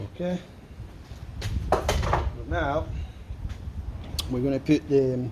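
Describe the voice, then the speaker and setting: Intonation is lively. There is noticeable noise in the background. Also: man. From Italy, near Salerno. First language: Italian. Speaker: mechanic. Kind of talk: tutorial. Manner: casual.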